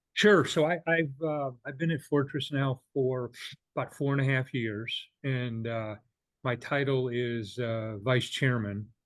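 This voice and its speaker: Here a man speaks at a fairly slow pace. His pitch is medium, with ordinary variation. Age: 60s. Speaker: bank executive. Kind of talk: podcast interview. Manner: halting, frequent uh fillers.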